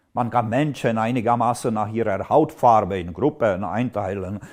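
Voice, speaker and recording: Against a quiet background, a man with a medium pitch speaks at a fairly slow pace. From Czech Republic, Moravia. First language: Czech (speaking German). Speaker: AI lecturer and writer. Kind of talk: educational video lecture.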